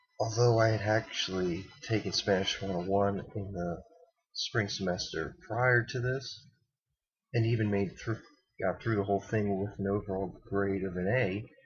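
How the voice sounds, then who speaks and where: Speaking at a moderate pace, a man with a fairly low, somewhat breathy voice keeps his intonation fairly even. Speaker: college student. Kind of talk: casual vlog talk to camera. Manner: stuttering, hesitant.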